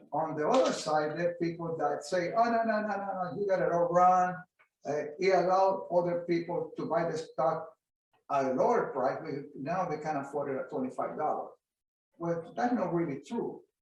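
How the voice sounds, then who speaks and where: Audible room echo carries a man's high voice at a moderate pace, with ordinary pitch variation. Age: 80s+. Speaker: veteran stock and commodity trader. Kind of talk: interview Q&A.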